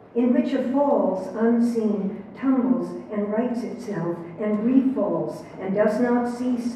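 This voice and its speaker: A woman at a very slow pace, with ordinary pitch variation, strong room echo and light background noise. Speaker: poet giving a lecture. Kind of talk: poetry reading. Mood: slow, measured, contemplative. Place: hall.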